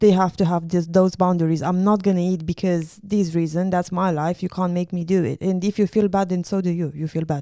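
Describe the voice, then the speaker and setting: A dark, mellow tone in a monotone, flat intonation, fairly quick and with hardly any pauses. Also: woman, fairly low pitch for a woman. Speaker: podcast co-host. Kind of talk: casual chat.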